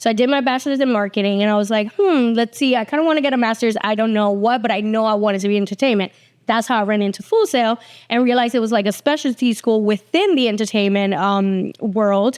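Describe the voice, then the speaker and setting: A woman talks at a very fast pace with a slight Puerto Rican accent and a fairly high pitch. Her loudness stays very even, and her pitch varies in an ordinary way. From Puerto Rico, then New Jersey from age eleven. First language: Spanish. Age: 40s. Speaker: TV executive producer. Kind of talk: casual interview chat. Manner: casual, with many fillers.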